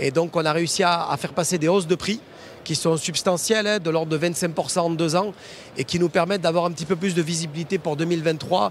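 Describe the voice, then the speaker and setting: Speaking at a fairly quick pace, a man with a high-pitched voice keeps his intonation fairly even. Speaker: foundry managing director. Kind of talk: interview on trade show floor. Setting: trade show floor.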